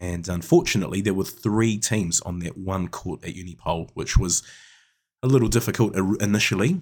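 A man with a New Zealand accent and a very deep, low pitch, at a fairly quick pace with ordinary pitch variation and big swings in loudness, on a very clean recording with a silent background. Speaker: netball coach and podcast co-host. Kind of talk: casual chat.

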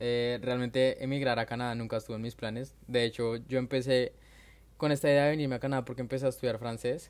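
In a monotone, flat intonation, a man talks at a very fast pace. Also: medium pitch for a man. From Colombia, Bogotá. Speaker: migrant. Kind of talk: casual chat.

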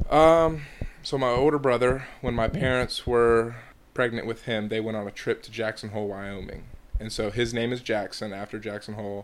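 With an American accent, a man has an unremarkable speaking voice, medium in pitch, with fairly even intonation. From Georgia, US South. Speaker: college baseball player. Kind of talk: casual interview.

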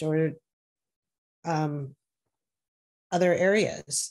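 In an American accent, a woman talks against a quiet background. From US Midwest, Milwaukee, Wisconsin. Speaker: corporate lawyer. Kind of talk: interview.

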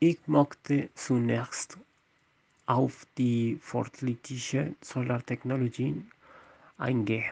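Speaking very slowly with long, frequent pauses, a man with a Spanish accent holds a medium pitch and fairly even intonation in a dry, close sound with no echo. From Colombia, Bogotá. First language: Spanish (speaking German). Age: 20s. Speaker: podcast host. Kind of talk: scripted podcast discussion. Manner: halting.

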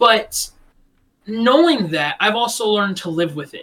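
At a fairly slow pace, the voice sounds bright and sharp, with ordinary pitch variation. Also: man. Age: 20s. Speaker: podcast co-host. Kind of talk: casual chat. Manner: animated.

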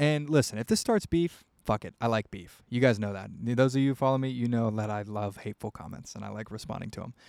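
A man talks at a very fast pace with an American accent. The recording is very clean and the background silent. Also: medium pitch for a man, ordinary pitch variation, hardly any pauses. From US Midwest. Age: 20s. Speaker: podcast host and indie rock musician. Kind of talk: casual solo monologue. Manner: rambling, many filler words.

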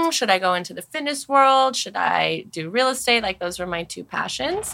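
A woman speaks with a Californian accent. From Los Angeles, San Fernando Valley. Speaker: pilates instructor and studio founder. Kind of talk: casual chat.

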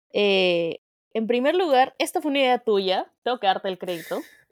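A high-pitched woman speaks at a moderate pace with very wide pitch swings, on a very clean recording with a silent background and a dry, close sound with no echo. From Peru, outside Lima. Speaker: podcast co-host. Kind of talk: casual chat.

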